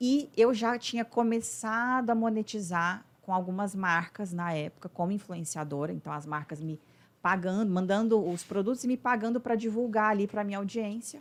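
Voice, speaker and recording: On a very clean recording with a silent background, a woman with a plain, everyday voice speaks at medium pitch and a moderate pace, with ordinary pitch variation. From Brazil, Uberlândia, Minas Gerais. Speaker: business mentor, former lawyer. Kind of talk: podcast interview.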